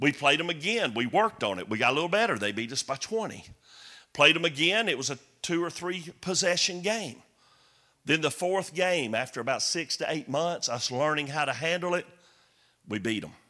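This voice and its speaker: In a very clean recording with a silent background, a man speaks at a fairly quick pace. His fairly high voice has a bright, sharp tone and lively intonation. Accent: Southern US. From US South. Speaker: comedian and former pastor. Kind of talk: sermon. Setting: church. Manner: animated.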